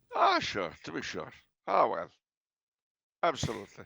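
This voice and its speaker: Using a put-on character voice in an Irish accent, a man speaks raspily at medium pitch and a moderate pace. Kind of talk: stage-Irish phrasing. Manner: playful, exaggerated.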